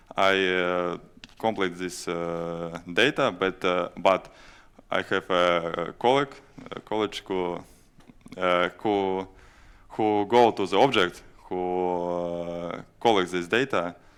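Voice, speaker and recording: A man with a very deep, low pitch and a non-native accent, at a very slow pace with long, frequent pauses and ordinary pitch variation. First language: Latvian or Russian. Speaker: fire safety GIS administrator. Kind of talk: conference presentation and Q&A. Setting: stage at a conference. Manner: halting, many hesitations.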